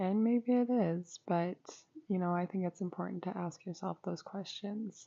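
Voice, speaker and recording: A soft-spoken woman talks at a moderate pace in a medium pitch. Her intonation is fairly even. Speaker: YouTuber and student. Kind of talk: casual chat.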